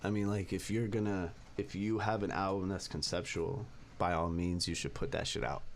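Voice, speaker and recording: With an American accent, a man talks at a moderate pace in a fairly low pitch, with ordinary pitch variation, very even loudness and audible room echo. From San Fernando Valley, California. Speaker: rapper. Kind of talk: casual interview chat. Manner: halting, filler-heavy.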